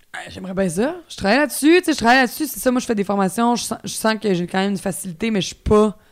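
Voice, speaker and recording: A woman with a fairly high pitch speaks at a very fast pace with lively intonation. She hardly pauses at all. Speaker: actress. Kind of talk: casual chat.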